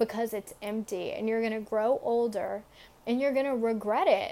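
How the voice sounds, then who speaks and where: This is a woman with a fairly high pitch and an ordinary speaking voice. She talks at a moderate pace with fairly even intonation on a very clean recording with a silent background. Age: 20s. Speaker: podcast host giving Bible devotionals. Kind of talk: devotional talk. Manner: casual, with fillers.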